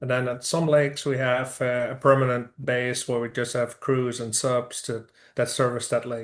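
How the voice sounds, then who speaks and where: A man with a Dutch accent speaks at a moderate pace in a medium pitch, his intonation monotone and flat. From Netherlands. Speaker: construction business owner. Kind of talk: interview. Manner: hesitant, many fillers.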